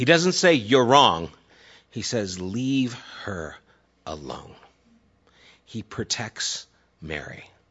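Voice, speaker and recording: A man speaks at a very slow pace with long, frequent pauses. His medium pitch moves in very wide swings. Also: big swings in loudness. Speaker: pastor. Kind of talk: sermon. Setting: church congregation. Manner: casual, conversational with fillers; gets louder when passionate.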